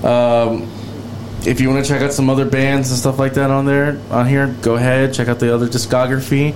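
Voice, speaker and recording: The speech comes at a fairly quick pace in a flat monotone with very even loudness, with noticeable background noise. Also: man, medium pitch for a man. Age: 30s. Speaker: podcast host. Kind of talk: casual chat.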